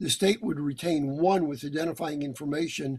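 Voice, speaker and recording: A man with an unremarkable speaking voice talks at a moderate pace, his pitch fairly high with ordinary variation. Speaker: lawyer, guest lecturer. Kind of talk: lecture.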